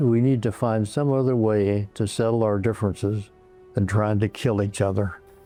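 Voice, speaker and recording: Against music in the background, a man talks at a fairly low pitch, with very even loudness and fairly even intonation. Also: moderate pace. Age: 100s, very old. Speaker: war veteran. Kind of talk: interview.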